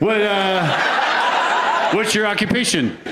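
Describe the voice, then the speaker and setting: High-pitched man in a raised, projected voice, over noticeable background noise. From Canada. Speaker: stand-up comedian. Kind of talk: stand-up crowd work. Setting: stage with live audience. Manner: halting, repeats words.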